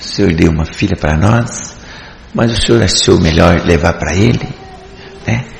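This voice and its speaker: A man's lively intonation amid audible room echo and noticeable background noise. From Paraná, Brazil (Faxinal). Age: 70s. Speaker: church deacon. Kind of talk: religious testimony. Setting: church service.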